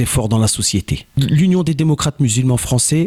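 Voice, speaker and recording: Noticeable background noise runs under speech that has ordinary pitch variation. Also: man. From France, Joué-lès-Tours (Indre-et-Loire). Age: 40s. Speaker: local election candidate. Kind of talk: campaign statement interview.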